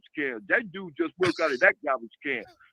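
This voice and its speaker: Projecting his raised voice, a man speaks at a fairly quick pace with a bright, sharp tone in a dry, close sound with no echo. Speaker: caller to a live show. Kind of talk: heated debate. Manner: fast.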